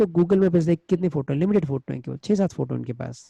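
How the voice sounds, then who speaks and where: Somewhat breathy and dark, mellow in tone, a man speaks at a moderate pace with ordinary pitch variation. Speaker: digital marketing trainer. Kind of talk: webinar lecture. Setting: online webinar.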